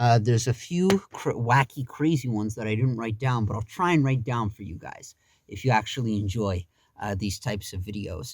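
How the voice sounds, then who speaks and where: With a dry, close sound and no echo, a man speaks at a moderate pace, his medium-pitched voice somewhat breathy and his intonation lively. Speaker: YouTuber. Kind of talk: storytime monologue. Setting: home. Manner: stuttering; animated.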